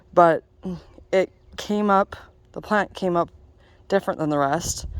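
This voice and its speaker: An ordinary speaking voice, fairly even intonation, a fairly slow pace, dry, close sound with no echo. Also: woman, medium pitch for a woman. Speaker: home gardener vlogger. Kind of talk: casual walkthrough tour. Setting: outdoors in garden.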